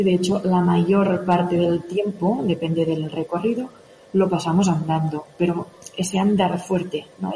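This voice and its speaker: A woman with an ordinary speaking voice talks at a fairly slow pace. Her pitch is fairly low and her intonation fairly even. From Catalonia, Spain (Òdena, near Igualada). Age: young. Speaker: mountain runner and fitness coach. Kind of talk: radio interview.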